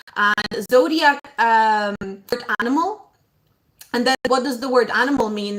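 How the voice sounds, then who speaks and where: The speaker has a non-native accent and a moderate pace. The intonation stays fairly even. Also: woman. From abroad, moved to Ireland at about eleven. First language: not English. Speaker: astrologer. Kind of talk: casual live stream talk. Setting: live stream. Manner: hesitant, many fillers.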